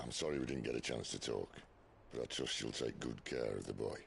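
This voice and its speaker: A man puts on a raspy, warm-toned character voice at a fairly quick pace, with clear background noise behind him. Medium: video game. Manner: blunt, warm, colloquial.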